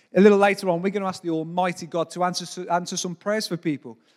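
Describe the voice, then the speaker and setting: Animated in tone, a man with a British accent speaks at a high pitch with ordinary pitch variation. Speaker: pastor. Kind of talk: sermon. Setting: church.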